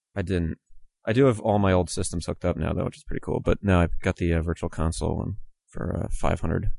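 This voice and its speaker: A man speaks with a very deep, low pitch and a dark, mellow tone. There is vocal fry and ordinary pitch variation. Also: fairly quick pace. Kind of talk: casual chat.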